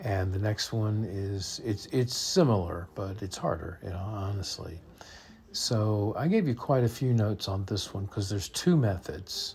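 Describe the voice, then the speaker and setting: A somewhat breathy man's voice, fairly low in pitch with ordinary pitch variation, at a fairly slow pace. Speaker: math teacher. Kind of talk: tutorial. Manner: halting.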